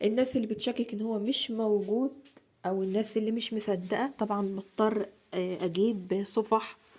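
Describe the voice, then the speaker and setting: Here a woman speaks with an Egyptian accent. Her pace is moderate and her intonation fairly even. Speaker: religious content creator. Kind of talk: casual talk to camera.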